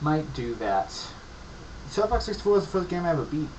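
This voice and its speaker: A man talks at a fairly quick pace, his pitch swinging very widely. The room echo is audible, with noticeable background noise behind him. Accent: American. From upstate New York, near Pennsylvania border. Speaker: gaming video creator. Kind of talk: casual gaming commentary monologue.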